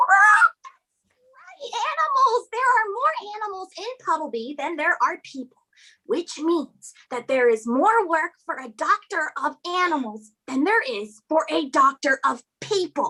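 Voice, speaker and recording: Using a put-on character voice, a woman speaks at an extremely high pitch with very wide pitch swings. Her pace is fairly slow. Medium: stage play. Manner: emphatic, coaxing.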